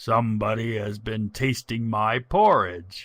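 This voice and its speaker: A man growls in a put-on character voice with a medium pitch at a fairly slow pace. The recording is very clean, with a silent background. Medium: read story.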